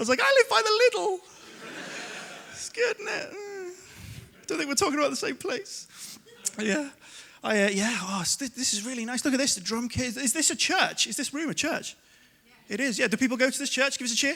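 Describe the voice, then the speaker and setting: Pitched extremely high, this man talks at a fairly quick pace in a raised, projected voice with a bright, sharp tone, very wide pitch swings, and long, frequent pauses. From Liverpool, England (Kensington). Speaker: comedian. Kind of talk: stand-up. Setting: stage with audience.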